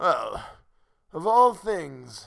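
A man's croaky, put-on character voice at a fairly slow pace, on a very clean recording with a silent background

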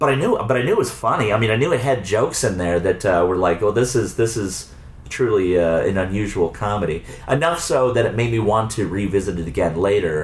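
A man's fairly low voice at a moderate pace with lively intonation, audible room echo and noticeable background noise. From Arizona, suburbs of Phoenix. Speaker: video store owner and filmmaker. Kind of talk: casual chat. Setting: in a video store. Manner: halting, many repetitions.

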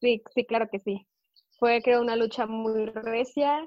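Speaking at a fairly slow pace, a woman with a Mexican accent has a fairly high-pitched voice. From Mexico. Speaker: wrestling correspondent. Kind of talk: casual chat.

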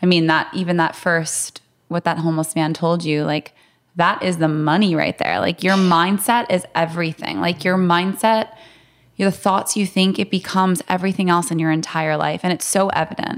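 A woman speaks at a moderate pace. Her intonation is fairly even and her loudness very even. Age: 30s. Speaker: podcast co-host. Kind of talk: podcast interview.

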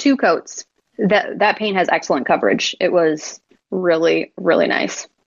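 A woman with an American accent speaks at a fairly slow pace in a medium pitch, her intonation lively and her voice showing vocal fry. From Buffalo, New York. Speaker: furniture refinisher. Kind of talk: casual chat.

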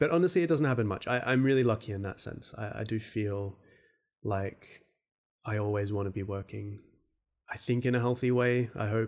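At a moderate pace and over a quiet background, the speaker talks with an Australian accent and ordinary pitch variation. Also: man, medium pitch for a man. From Australia, Perth. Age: 30s. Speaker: podcast host and fantasy artist. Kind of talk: casual solo Q&A. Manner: hesitant, many fillers.

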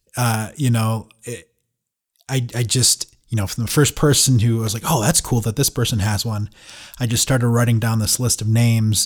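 With an American accent, a man talks at a moderate pace in a medium pitch, his somewhat breathy voice keeping fairly even intonation over a very clean recording with a silent background. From Michigan, US Midwest (Saginaw). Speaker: drum gear company founder. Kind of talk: casual interview chat. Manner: hesitant, many fillers.

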